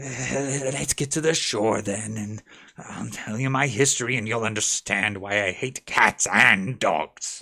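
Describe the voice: A man puts on a shaky character voice at a medium pitch, speaking at a fairly slow pace.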